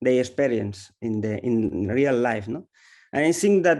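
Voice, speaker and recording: A dark, mellow tone with lively intonation and a Spanish accent, over a quiet background. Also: man. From Spain. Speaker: film director. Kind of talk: Q&A interview. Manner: halting.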